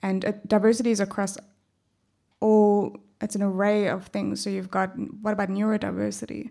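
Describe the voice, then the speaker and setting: A dark, mellow tone carries a monotone, flat intonation at a fairly quick pace with long, frequent pauses, in a very clean recording with a silent background. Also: woman, medium pitch for a woman. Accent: South African. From South Africa. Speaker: panelist. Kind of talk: live panel discussion. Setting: stage with audience.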